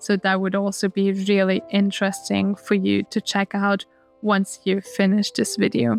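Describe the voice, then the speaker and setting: A woman with a German accent speaks at a moderate pace and medium pitch, with ordinary pitch variation and very even loudness. The sound is dry and close with no echo, with music in the background. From Austria. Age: 20s. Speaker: lifestyle vlogger. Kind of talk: casual advice talk.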